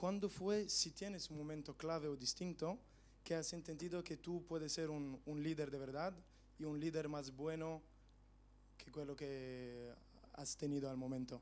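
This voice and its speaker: A man's fairly high voice holds fairly level intonation as he talks fairly slowly. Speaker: audience member. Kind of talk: audience question.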